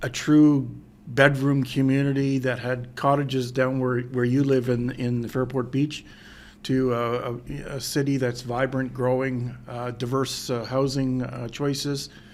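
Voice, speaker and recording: In an Ontario accent, a man speaks at a medium pitch. His delivery is fairly slow and monotone, with flat intonation. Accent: Canadian English (Ontario). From Ontario, Canada (Pickering). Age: 60s. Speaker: mayor. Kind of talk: interview. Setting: in-person sit-down interview. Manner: hesitant, many fillers.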